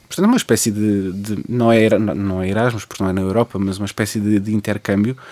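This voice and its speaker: A man's very fast, fairly low, dark and mellow voice in monotone, flat intonation with hardly any pauses, dry and close with no echo. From Portugal, Lisbon area (Cascais line). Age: 20s. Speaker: poet and history teacher. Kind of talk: radio interview. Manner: halting, many repetitions.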